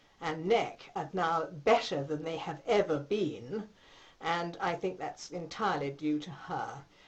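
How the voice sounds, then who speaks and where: A somewhat breathy woman speaks with a fairly low pitch. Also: ordinary pitch variation, fairly slow pace. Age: 60s. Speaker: patient. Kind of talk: testimony. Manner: hesitant, many fillers.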